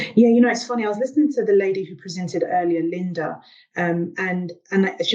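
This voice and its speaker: Here is a woman with a South London accent at medium pitch. She speaks at a very fast pace. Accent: British, South London. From England, South London. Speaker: engineer and transformation coach. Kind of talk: panel discussion.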